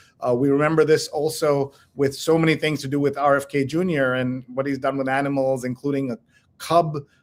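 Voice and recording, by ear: A man talks at a fairly quick pace with little pitch movement. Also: medium pitch for a man.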